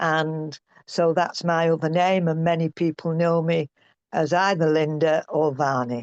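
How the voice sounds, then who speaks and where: The voice is monotone and flat, moving at a fairly slow pace with very even loudness. The sound is dry and close with no echo, over a quiet background. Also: woman, fairly low pitch for a woman. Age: 70s. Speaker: Ayurveda practitioner and trainer. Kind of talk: interview.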